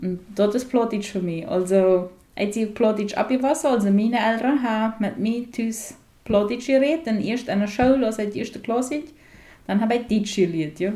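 Her tone dark and mellow, a woman speaks at a moderate pace with a fairly high pitch and ordinary pitch variation. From Paraguay, Mennonite colony Friesland. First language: Plautdietsch (speaking German). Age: 40s. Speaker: media scientist. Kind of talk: radio interview. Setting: at guest's place.

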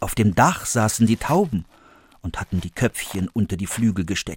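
Somewhat breathy and animated in tone, the voice moves at a fairly slow pace in a dry, close sound with no echo. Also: man. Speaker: actor reading fairy tale. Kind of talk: dramatic fairy-tale narration, read aloud with character voices. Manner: animated, expressive, varying pitch and pace for suspense and characters.

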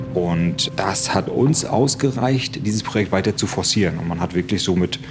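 A man talks at a moderate pace with ordinary pitch variation, and there is noticeable background noise. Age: 40s. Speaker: engineer and project manager. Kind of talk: on-site interview during a tour.

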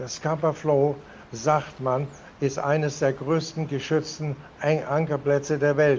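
Over noticeable background noise, a man speaks very slowly at a fairly high pitch with monotone, flat intonation. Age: 80s+. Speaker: retired merchant sailor. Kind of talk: interview. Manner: halting.

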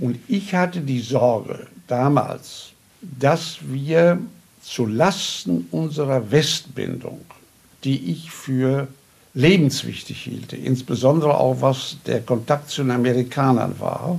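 A man's somewhat breathy voice at medium pitch, with lively intonation and a very slow pace. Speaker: contemporary witness, politician. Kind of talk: interview.

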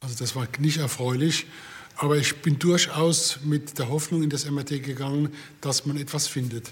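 Noticeable background noise runs under a man speaking at a moderate pace. His fairly high voice has monotone, flat intonation. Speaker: patient and city tour guide. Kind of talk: interview testimony.

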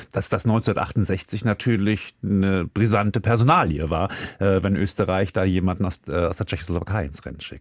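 With a plain, everyday voice, a man speaks at a moderate pace with fairly low pitch and ordinary pitch variation, and the recording is very clean with a silent background. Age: 50s. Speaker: music expert co-host. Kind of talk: casual chat.

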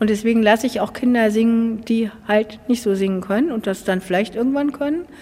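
Noticeable background noise sits behind a woman's voice. She talks with hardly any pauses and ordinary pitch variation. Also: fairly high pitch for a woman. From Gadebusch, Mecklenburg, northern Germany. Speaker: church musician. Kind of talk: interview.

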